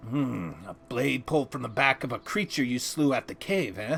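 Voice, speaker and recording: A put-on character voice moves at a moderate pace. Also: man, medium pitch for a man. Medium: video game. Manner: hearty, folksy, nautical idiom.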